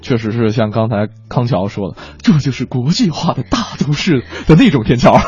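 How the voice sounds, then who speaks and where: This man's intonation is lively. Noticeable background noise can be heard. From Northeast China. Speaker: radio host. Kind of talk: casual radio chat. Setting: radio studio.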